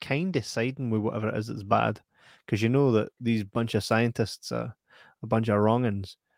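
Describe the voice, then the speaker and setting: A man with a West Lothian accent talks at a medium pitch and a fairly quick pace. The recording is very clean with a silent background and a dry, close sound with no echo. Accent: Scottish (West Lothian). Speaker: film podcast host. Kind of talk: casual chat.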